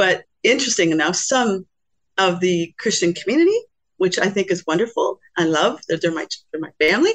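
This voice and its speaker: Her intonation is lively and her pitch sits in the medium range for a woman. She talks at a fairly quick pace, and the sound is dry and close with no echo. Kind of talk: testimony. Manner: hesitant, many fillers.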